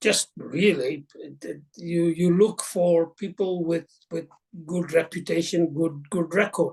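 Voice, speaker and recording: A very slow, high-pitched male voice with fairly even intonation. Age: 70s. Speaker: retail investor. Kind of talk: interview. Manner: halting.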